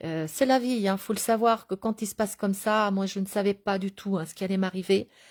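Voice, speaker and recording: A woman's medium-pitched voice at a fairly quick pace, with fairly even intonation, big swings in loudness and a dry, close sound with no echo. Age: 60s. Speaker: stroke survivor vlogger. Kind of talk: personal video diary. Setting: at home in a medical bed. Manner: halting, many hesitations.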